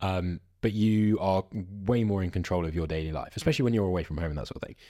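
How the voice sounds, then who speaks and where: On a very clean recording with a silent background, a man with a British accent talks at a very fast pace in a very deep, low pitch, with lively intonation. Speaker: podcast host. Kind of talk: casual chat.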